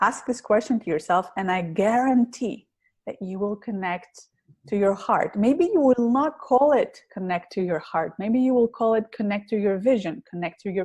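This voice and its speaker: Somewhat breathy and at a fairly high pitch, a woman with a strong Greek accent speaks at a moderate pace with lively intonation over a quiet background. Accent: heavy Greek. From Greece. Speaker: public speaking coach. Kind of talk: interview.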